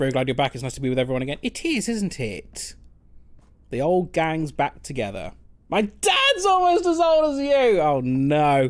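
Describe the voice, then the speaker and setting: Speaking with a London accent, a man keeps a moderate pace. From London, England. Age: 30s. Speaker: game streamer. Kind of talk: casual chat. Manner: halting.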